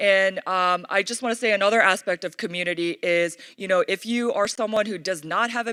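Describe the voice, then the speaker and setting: A woman's medium-pitched voice with lively intonation and a bright, sharp tone, in a very clean recording with a silent background, dry and close with no echo. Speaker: conference speaker. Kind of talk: conference keynote talk. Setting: stage with audience. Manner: fast; animated.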